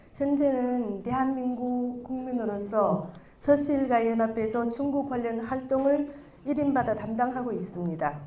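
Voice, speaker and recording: Audible room echo surrounds speech at a fairly slow pace. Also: woman, high pitch for a woman, ordinary pitch variation. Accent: Chinese. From China. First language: Chinese (speaking Korean). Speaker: clan association vice-president. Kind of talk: prepared speech read aloud. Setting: stage with audience. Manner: formal.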